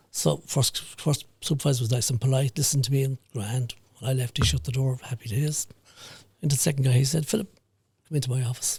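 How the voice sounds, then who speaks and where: Speaking very fast, a man with an Irish accent uses a medium pitch, ordinary pitch variation and a somewhat breathy delivery. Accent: rural Irish (Mayo). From Ireland, County Mayo. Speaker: business founder and HR consultant. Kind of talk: podcast interview. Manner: halting.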